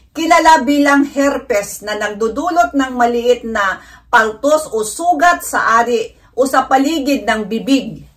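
Against a quiet background, a woman speaks fairly slowly at a high pitch with lively intonation. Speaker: vlogger. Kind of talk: informal health talk vlog. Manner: halting, stumbles over medical terms. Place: home room.

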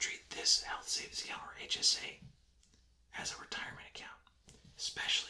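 Someone whispers, soft-spoken. The pace is fairly quick. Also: man. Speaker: presenter. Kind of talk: tutorial. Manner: soft whispered explanation.

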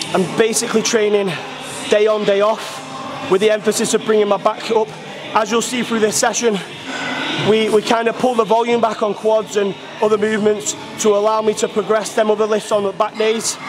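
With clear music in the background, a man talks at a fairly quick pace in a high pitch, his intonation monotone and flat and his loudness very even. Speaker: coach. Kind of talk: casual vlog chat. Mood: positive, motivated. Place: gym.

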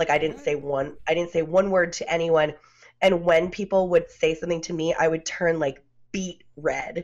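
A woman with a fairly low pitch talks with fairly even intonation over a quiet background. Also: moderate pace. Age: 30s. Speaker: podcaster. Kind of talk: casual chat. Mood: candid, reflective about childhood. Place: home room. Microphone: video call.

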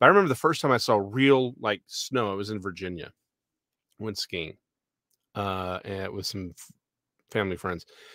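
A bright, sharp voice with a Texan accent, moderate pace, ordinary pitch variation and long, frequent pauses, dry with no echo over a quiet background. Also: man, fairly low pitch for a man. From Texas. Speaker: podcast co-host. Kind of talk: casual chat. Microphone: studio mic.

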